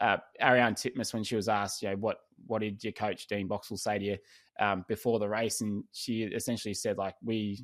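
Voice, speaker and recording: A man with an Australian accent, fairly low in pitch, talking at a fairly quick pace in a flat monotone on a very clean recording with a silent background. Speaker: swim coach and podcast host. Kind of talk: podcast interview.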